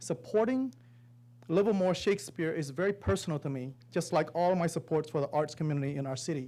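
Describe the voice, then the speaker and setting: At a fairly quick pace, a man speaks with a fairly high pitch and a dark, mellow tone. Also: lively intonation. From Cambodia. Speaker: public commenter. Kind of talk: public comment speech. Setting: city council meeting.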